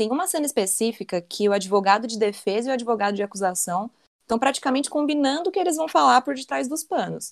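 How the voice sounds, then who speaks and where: A woman's fairly high voice at a very fast pace, with very wide pitch swings, on a very clean recording with a silent background. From Southeast Brazil. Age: 20s. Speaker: economist, podcast panelist. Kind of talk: casual chat.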